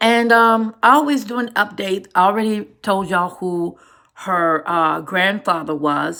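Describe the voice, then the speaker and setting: Bright and sharp in tone, a woman speaks at a very slow pace with ordinary pitch variation. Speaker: YouTuber discussing celebrity news. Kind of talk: casual vlog monologue. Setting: home recording at monitor. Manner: hesitant, many fillers.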